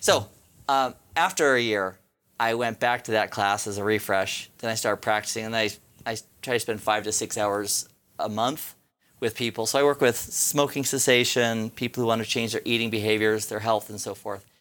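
A man speaks in a plain, everyday voice at a medium pitch and a moderate pace. His intonation is fairly even, and the recording is very clean with a silent background. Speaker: IT instructor and network engineer. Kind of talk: interview; guided hypnosis exercise.

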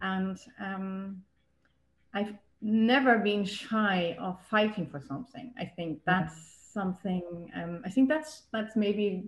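A woman's somewhat breathy, medium-pitched voice at a very slow pace, with ordinary pitch variation. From Germany. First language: German. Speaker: yoga teacher and local political candidate. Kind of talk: casual interview. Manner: halting, many repetitions.

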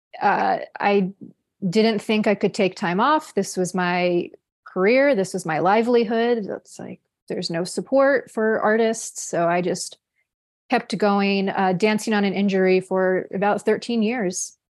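At a fairly slow pace, a plain, everyday voice with ordinary pitch variation comes through over a quiet background. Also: woman, medium pitch for a woman. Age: 40s. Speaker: somatic sex educator and coach. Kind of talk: casual chat.

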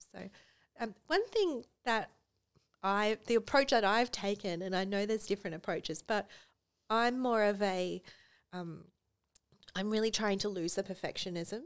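In a very clean recording with a silent background, a woman with an Australian accent speaks at medium pitch and a moderate pace, with ordinary pitch variation and long, frequent pauses. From rural Australia. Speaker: estate planning lawyer and business owner. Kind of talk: casual interview. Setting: podcast studio.

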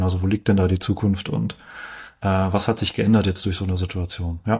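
A man talks in a monotone, flat intonation, captured on a very clean recording with no background sound at all. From Heidelberg area, southwest Germany. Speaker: finance video host. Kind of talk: interview.

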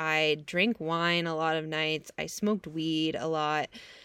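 A woman is speaking. The recording is very clean with a silent background, and the sound is dry and close with no echo. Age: 30s. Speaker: podcast host, gut-brain health coach. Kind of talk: casual solo podcast monologue. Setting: in a camper van.

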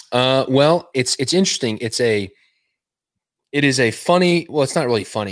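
A man with a Texan accent talks at a fairly quick pace with lively intonation. The recording is very clean, with a silent background. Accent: Texan American. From West Texas. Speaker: illustrator and designer. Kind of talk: casual interview chat. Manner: halting, many fillers.

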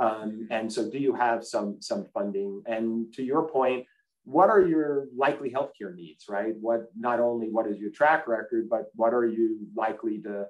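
The speaker has an American accent and a normal speaking voice. The pace is moderate, with ordinary pitch variation. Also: man. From US East Coast. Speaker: health insurance executive. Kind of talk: interview.

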